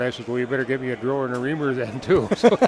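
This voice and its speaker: Noticeable background noise runs behind a man's voice. He speaks at a medium pitch with fairly even intonation. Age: 70s. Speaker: barrel maker. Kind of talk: interview. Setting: trade show booth.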